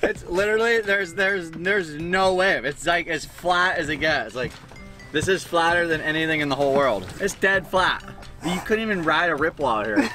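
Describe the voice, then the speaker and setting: Over clear music in the background, a man with a high pitch talks at a moderate pace with ordinary pitch variation, and the sound is dry with no echo. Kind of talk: casual vlog chat. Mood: joking, playful complaint. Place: car. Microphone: phone near.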